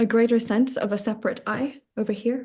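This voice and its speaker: The voice is dark and mellow in tone, somewhat breathy, with monotone, flat intonation at a fairly slow pace. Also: woman. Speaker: spiritual coach. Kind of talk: podcast interview. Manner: halting.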